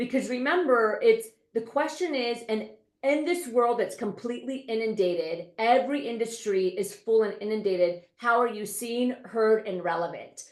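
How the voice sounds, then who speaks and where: A woman speaks in a confident tone at a fairly high pitch. Her intonation is lively and her pace moderate. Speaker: leadership coach and CEO. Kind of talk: interview. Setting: podcast. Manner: fluent, confident speaker.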